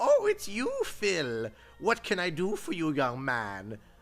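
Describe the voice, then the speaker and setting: Faint music plays in the background behind a put-on character voice. The middle-pitched delivery is fairly slow. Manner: put-on, strained voice.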